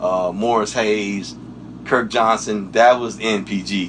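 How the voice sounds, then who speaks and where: Over noticeable background noise, a man with an American accent speaks very slowly at a fairly low pitch. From Washington D.C. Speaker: session guitarist. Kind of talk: interview. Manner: casual.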